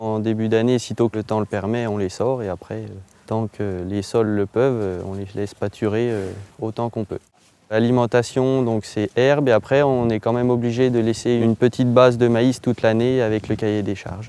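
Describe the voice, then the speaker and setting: A man talks at medium pitch and a moderate pace with monotone, flat intonation. The sound is dry and close, with no echo. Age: 20s. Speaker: dairy farmer. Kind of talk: interview testimony. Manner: hesitant, many fillers.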